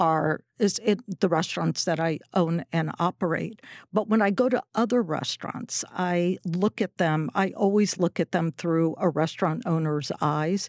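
A woman talks at a fairly slow pace with hardly any pauses, her pitch fairly low with ordinary variation and her loudness very even. The recording is very clean, with a silent background and a dry, close sound free of echo. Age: 60s. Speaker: restaurateur. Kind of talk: casual interview. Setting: studio.

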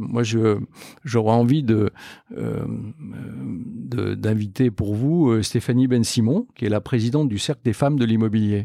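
In a dark, mellow tone, a man talks at medium pitch with ordinary pitch variation. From France, Lorraine (Metz). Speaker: company executive. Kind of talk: interview. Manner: hesitant with fillers.

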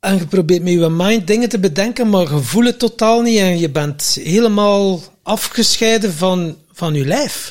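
A man with a Flemish accent speaks at a fairly slow pace. His pitch is high with ordinary variation. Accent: Flemish Dutch. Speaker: podcast co-host. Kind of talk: casual chat. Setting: farmhouse. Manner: animated.

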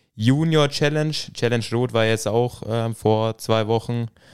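Against a silent background on a very clean recording, a man talks at a very slow pace with a medium pitch and fairly even intonation. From Franconia, Bavaria (village near Thalmässing). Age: 20s. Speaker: triathlete. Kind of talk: casual interview. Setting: home podcast studio.

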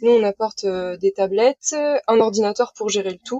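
A woman speaks with fairly even intonation. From Brittany, Saint-Malo. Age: 20s. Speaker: sailor running a library sailboat project. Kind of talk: casual interview.

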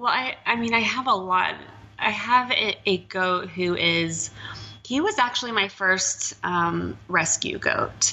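Speaking very slowly with an American accent, a woman is heard against noticeable background noise. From Texas. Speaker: animal sanctuary founder. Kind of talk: interview conversation. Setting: host's apartment, at a table.

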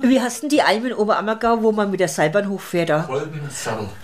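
With very wide pitch swings, a woman speaks amid audible room echo and noticeable background noise. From Franconia, Germany. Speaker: podcast co-host, retiree. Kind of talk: casual chat. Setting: home, farmhouse-style room.

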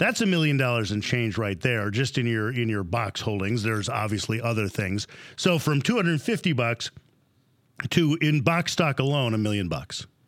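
On a very clean recording with a silent background, a plain, everyday voice speaks at a moderate pace with lively intonation. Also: man, medium pitch for a man. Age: 50s. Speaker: podcast and TV host. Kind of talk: scripted narration; interview.

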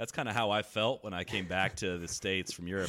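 A man speaks at a fairly quick pace in an unremarkable speaking voice with a fairly low pitch. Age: 30s. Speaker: golf podcaster. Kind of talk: casual chat.

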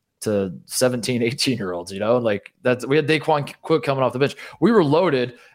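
On a very clean recording with a silent background, a man with an ordinary speaking voice and an American accent talks fairly quickly at medium pitch with ordinary pitch variation. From Indiana, US. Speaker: college basketball commentator. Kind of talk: casual chat.

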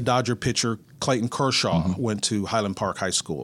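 A man with a Texan accent and ordinary pitch variation is heard in a very clean recording against a silent background. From north central Texas (Mineral Wells). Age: 60s. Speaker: retired sports broadcaster. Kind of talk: interview.

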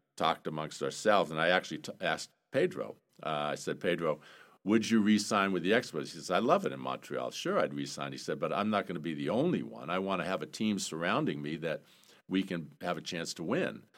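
Against a silent background in a very clean recording, a man with a very deep, low pitch and vocal fry speaks at a fairly quick pace with lively intonation. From Maine, South Portland. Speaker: former baseball player and executive. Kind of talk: casual interview.

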